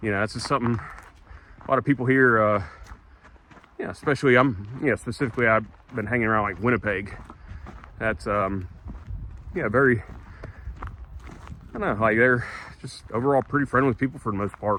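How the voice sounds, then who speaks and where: With a Southern US accent, a man at a medium pitch and ordinary pitch variation talks with long, frequent pauses over noticeable background noise. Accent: southern drawl. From US South. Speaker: travel vlogger. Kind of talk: walk and talk vlog. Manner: casual, halting with many fillers.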